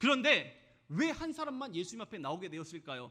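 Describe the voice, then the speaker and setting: A man speaks in a raised, projected voice with a bright, sharp tone, very wide pitch swings and a moderate pace. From South Korea, Jeolla region. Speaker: pastor. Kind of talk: sermon.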